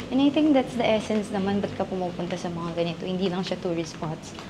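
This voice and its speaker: A woman's quiet voice with audible room echo and noticeable background noise. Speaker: travel vlogger. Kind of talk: travel vlog narration. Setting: inside a temple. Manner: quiet, hushed.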